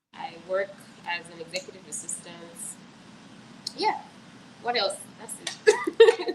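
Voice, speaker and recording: Amid noticeable background noise, a woman speaks at a fairly slow pace with long, frequent pauses and big swings in loudness. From Nigeria. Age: 30s. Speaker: executive assistant. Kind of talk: live stream panel chat.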